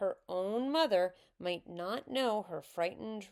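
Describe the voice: Someone does plain reading aloud with lively intonation.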